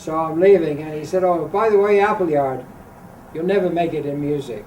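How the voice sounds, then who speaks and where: The intonation is lively. Audible room echo surrounds the voice. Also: man. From England, Grimsby. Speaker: jazz vibraphonist. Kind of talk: interview, anecdotes. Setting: hotel.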